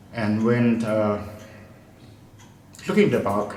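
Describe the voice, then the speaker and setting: Audible room echo and noticeable background noise surround the speaker. He is a man with a medium pitch. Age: 60s. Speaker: retired English lecturer. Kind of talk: interview. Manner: halting.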